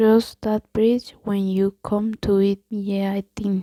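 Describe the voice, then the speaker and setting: The speaker has a Colombian accent and talks at a very slow pace. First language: Spanish. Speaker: ASMR creator. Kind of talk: ASMR idiom reading and explanation. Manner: halting; soft-spoken.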